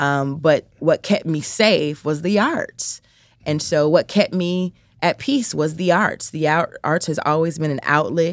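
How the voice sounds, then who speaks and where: In a very clean recording with a silent background, a woman with an American accent has an unremarkable speaking voice, fairly low in pitch, talking at a fairly slow pace with ordinary pitch variation. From US Midwest, south side of Chicago. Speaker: nonprofit founder, business owner. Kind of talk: interview.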